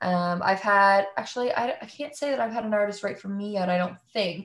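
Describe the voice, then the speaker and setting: A woman talks at a fairly quick pace, her voice somewhat breathy. The recording is very clean, with a silent background. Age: 20s. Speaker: singer-songwriter. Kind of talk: casual interview chat.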